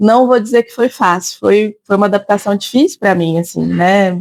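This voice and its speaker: A woman with a strong interior São Paulo accent, in a dry, close sound with no echo. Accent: heavy interior São Paulo. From Brazil, interior of São Paulo state. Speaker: psychologist and teacher. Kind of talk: interview. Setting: café.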